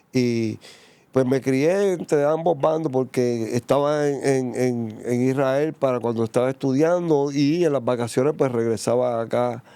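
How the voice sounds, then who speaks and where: In a plain, everyday voice, a man speaks at a moderate pace and medium pitch with ordinary pitch variation. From Puerto Rico, San Juan. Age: 60s. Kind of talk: testimony interview.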